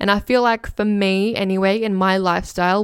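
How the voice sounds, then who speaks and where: A woman with an Australian accent speaks at a fairly slow pace on a very clean recording with a silent background. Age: 20s. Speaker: podcast host. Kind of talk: solo podcast reading survey responses. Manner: energetic radio delivery.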